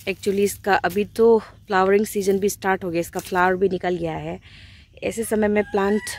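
Monotone, flat intonation marks a woman speaking at a moderate pace. The sound is dry, with no echo. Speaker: country life vlogger. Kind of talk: casual vlog chat. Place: garden. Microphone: phone near.

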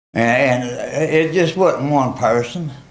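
Audible room echo surrounds a man speaking with an American accent and ordinary pitch variation. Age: 70s. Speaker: member of the public speaking at council meeting. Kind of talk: public comment complaint. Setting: town council meeting. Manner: agitated.

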